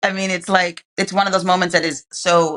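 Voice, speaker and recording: Here is a woman with a New York accent. Her tone is bright and sharp, at a medium pitch. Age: 50s. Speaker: activist and entrepreneur. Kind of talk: interview answer.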